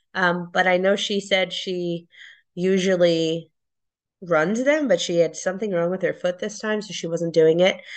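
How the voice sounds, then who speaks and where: A woman's normal speaking voice, medium in pitch, with ordinary pitch variation. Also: moderate pace. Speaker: guest runner. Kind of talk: casual chat.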